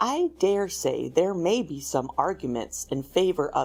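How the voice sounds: The clip has a natural reading voice. It is a natural reading voice throughout.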